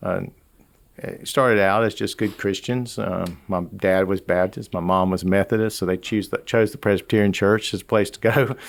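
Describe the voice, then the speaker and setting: A man with a strong Southern Georgia accent, fairly low pitched, at a moderate pace with fairly even intonation, on a very clean recording with a silent background. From US South, rural Georgia. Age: 60s. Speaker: business leader. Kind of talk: interview.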